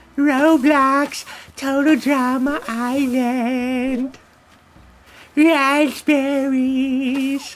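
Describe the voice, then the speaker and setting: This put-on character voice is high in pitch with monotone, flat intonation. The pace is very slow. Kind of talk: practice voice-acting. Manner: dainty, pathetic.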